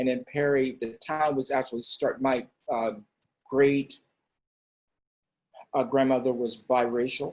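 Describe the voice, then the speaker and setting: Speaking at a medium pitch, a man talks in a monotone, flat intonation broken by long, frequent pauses. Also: fairly slow pace. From US South, Florida. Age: 70s. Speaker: dance company artistic director. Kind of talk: casual conversation.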